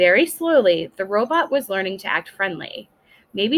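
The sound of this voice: The clip features an unforced reading voice.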